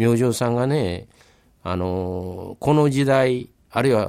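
Lively intonation runs through a man's words. He talks very slowly. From Kobe area, Japan. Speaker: local historian, former history teacher. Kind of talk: radio interview.

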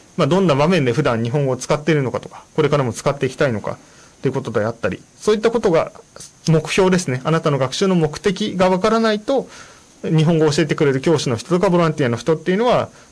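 A man speaks at a very fast pace in a fairly high pitch. His pitch swings very widely. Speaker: radio host and Japanese-language support volunteer. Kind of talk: bilingual informational radio talk. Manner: many fillers, hesitant.

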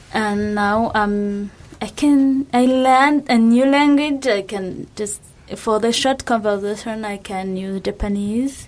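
Noticeable background noise sits behind a woman with a fairly high pitch. She speaks at a very slow pace with ordinary pitch variation. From Rwanda. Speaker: graduate student. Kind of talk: radio interview.

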